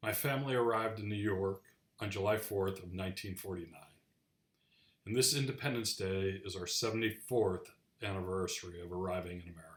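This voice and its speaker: In a normal speaking voice, a man talks at a fairly quick pace, fairly low in pitch with fairly even intonation. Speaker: grandchild of a Holocaust survivor, channel host. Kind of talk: casual commentary to camera.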